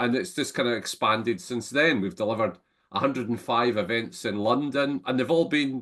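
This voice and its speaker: Speaking with a Scottish accent, a man talks at a moderate pace with lively intonation. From Scotland. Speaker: entrepreneur and business network founder. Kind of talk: interview conversation. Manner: halting, frequent repetitions.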